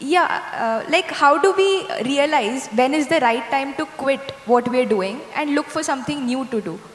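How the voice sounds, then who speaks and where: In a room with audible echo, a woman speaks with a high pitch, lively intonation and hardly any pauses. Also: fairly slow pace. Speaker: event compere; panelist. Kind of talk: moderated Q&A. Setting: stage with audience. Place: stage. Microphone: handheld.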